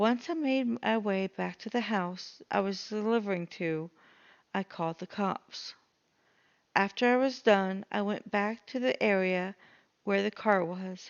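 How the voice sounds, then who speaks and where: A woman talks at medium pitch and a fairly slow pace, with ordinary pitch variation. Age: 40s. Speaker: story narrator. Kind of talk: horror story reading. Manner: struggles with some words.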